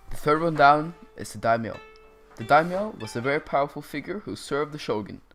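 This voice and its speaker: Music plays in the background while the speaker talks at a moderate pace. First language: not English. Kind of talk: educational history narration.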